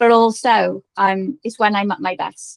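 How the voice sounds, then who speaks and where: A woman with a strong Liverpool accent speaks at a fairly high pitch with ordinary pitch variation, in a dry, close sound with no echo. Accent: strong Scouse. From Liverpool, northern England. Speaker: business founder and coach. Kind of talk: podcast interview.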